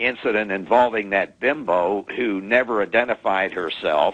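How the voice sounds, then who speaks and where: The speaker has an ordinary speaking voice with ordinary pitch variation. The pace is fairly slow. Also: man. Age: 60s. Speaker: caller. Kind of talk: call-in to radio show.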